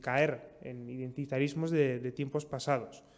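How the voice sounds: The speaker is a man. His tone is slightly mellow.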